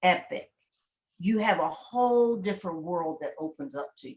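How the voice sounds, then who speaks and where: Pitch swings very widely as a woman talks. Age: 60s. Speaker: network marketing member, military veteran. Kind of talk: testimony interview.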